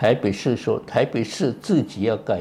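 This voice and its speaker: Somewhat breathy and dark, mellow in tone, a man speaks at a fairly slow pace. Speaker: retired pediatric cardiologist and professor. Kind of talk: interview.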